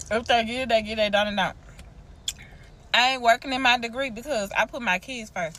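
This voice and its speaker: A woman with a Southern US accent talks at a fairly quick pace in a fairly high, bright, sharp voice with ordinary pitch variation. Her delivery is animated, broken by long, frequent pauses. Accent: Southern US, casual dialect. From US South. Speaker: TikTok creator, parent. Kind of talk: casual vlog rant.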